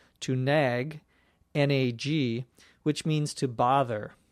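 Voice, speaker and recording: A man with a Minnesota accent at a very slow pace, medium pitch and fairly even intonation, on a very clean recording with a silent background. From Minnesota, US Midwest. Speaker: English teacher. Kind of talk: language lesson explanation. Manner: clear, explanatory, spells out words.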